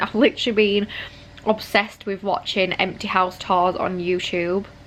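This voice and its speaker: In a British accent, the speaker moves at a fairly quick pace with monotone, flat intonation. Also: woman. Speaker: vlogger, mum. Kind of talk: casual vlog talk. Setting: at home. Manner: quiet, talking softly.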